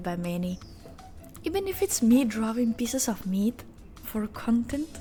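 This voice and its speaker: With a non-native accent, the speaker talks at a moderate pace, using very wide pitch swings. Music plays in the background. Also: woman. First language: not English. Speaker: art content creator. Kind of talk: drawing tutorial narration.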